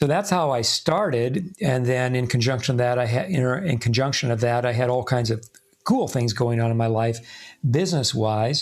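A man with an unremarkable speaking voice talks at a medium pitch and moderate pace, with ordinary pitch variation and very even loudness. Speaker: spiritual teacher. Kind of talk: casual chat.

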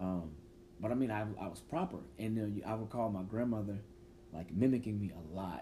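With long, frequent pauses, this somewhat breathy voice has a dark, mellow tone and ordinary pitch variation. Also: man, fairly low pitch for a man, fairly quick pace. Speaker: podcast host; teacher. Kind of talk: casual chat.

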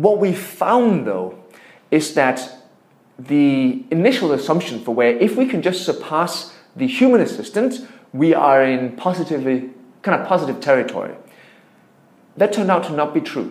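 A man with a Danish accent, high in pitch with very wide pitch swings, at a moderate pace with long, frequent pauses, and audible room echo. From Denmark. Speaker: tech entrepreneur. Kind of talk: interview.

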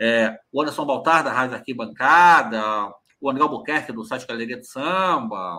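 Bright and sharp in tone, a man with medium pitch speaks at a moderate pace. His intonation is lively. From Rio de Janeiro, Brazil (Cascadura, north zone). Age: 40s. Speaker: carnival journalist and commentator. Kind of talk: casual interview chat. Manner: halting, frequent repetitions.

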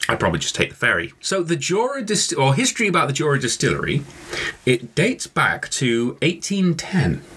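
With noticeable background noise, a man with a British accent speaks at a moderate pace and very even loudness. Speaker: whisky podcast host. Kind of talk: casual chat.

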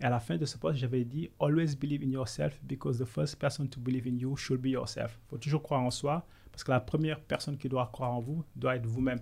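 Speaking very fast with hardly any pauses, a man has a medium pitch and ordinary pitch variation. His voice is somewhat breathy. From Senegal. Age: 30s. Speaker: business consultant. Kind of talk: interview.

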